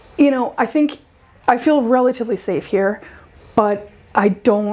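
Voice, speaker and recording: A woman speaks with an American accent at a moderate pace, her pitch varying in an ordinary way. Noticeable background noise runs behind her. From USA. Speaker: PhD researcher. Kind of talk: casual chat.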